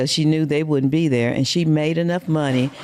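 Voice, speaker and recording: A woman's very deep, low voice with a dark, mellow tone, fairly even intonation and a Southern US accent, on a very clean recording with a silent background. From US South, Mississippi. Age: 60s. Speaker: podcast guest. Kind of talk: casual interview.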